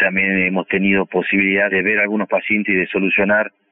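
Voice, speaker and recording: A man talks at a fairly low pitch. His intonation is flat and monotone. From Argentina, Salta province. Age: 40s. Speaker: oral surgeon. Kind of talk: interview. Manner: halting, with fillers.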